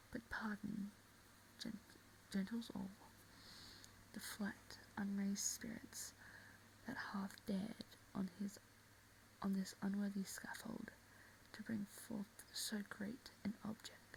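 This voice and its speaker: Whispering at a very slow pace, the voice leaves long, frequent pauses. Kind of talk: soft-spoken ASMR reading of a play. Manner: soft-spoken.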